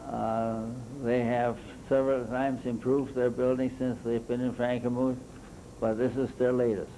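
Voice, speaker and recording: A man with an American accent speaks at a moderate pace and a medium pitch. His intonation is monotone and flat, and his loudness is very even. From Michigan, US Midwest. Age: 80s+. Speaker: local historian. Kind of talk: slide presentation. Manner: halting, with fillers.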